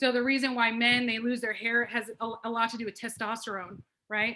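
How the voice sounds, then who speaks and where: A loud woman's voice, fairly high and bright, sharp in tone, at a fairly quick pace. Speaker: wellness program participant. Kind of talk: testimony. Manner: animated.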